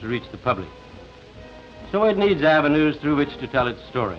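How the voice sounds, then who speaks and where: A man's fairly high-pitched voice with very wide pitch swings, over music in the background. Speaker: business executive. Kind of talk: prepared speech to camera.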